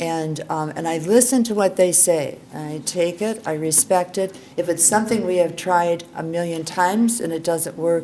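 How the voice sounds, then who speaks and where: Speech at a moderate pace with hardly any pauses and ordinary pitch variation carries audible room echo and noticeable background noise. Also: woman, fairly low pitch for a woman. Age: 70s. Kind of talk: conference talk. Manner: halting.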